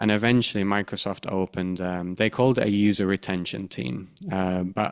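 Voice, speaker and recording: A man with a very deep, low pitch speaks in a British accent at a moderate pace. The recording is very clean, with a silent background. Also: dry, close sound with no echo. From UK. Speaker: podcast host, UX researcher. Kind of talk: casual podcast conversation. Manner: halting, many fillers and restarts.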